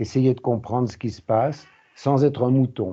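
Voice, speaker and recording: With ordinary pitch variation, this man's voice holds a medium pitch. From France, Lyon. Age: 70s. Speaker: peace research institute president. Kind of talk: interview. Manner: halting.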